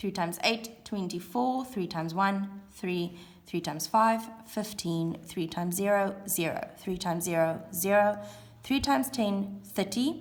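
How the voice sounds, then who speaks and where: A woman speaks at a fairly slow pace with ordinary pitch variation. Some room echo is audible. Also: medium pitch for a woman. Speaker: primary school teacher. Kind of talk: classroom video lesson.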